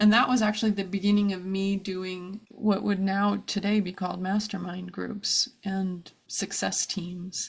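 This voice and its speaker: A woman with an American accent speaks at a fairly slow pace with hardly any pauses, her medium-pitched voice somewhat breathy, on a very clean recording with a silent background. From US, New Jersey (New Brunswick). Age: 50s. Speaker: brand and web designer. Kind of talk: interview, personal life story. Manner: animated.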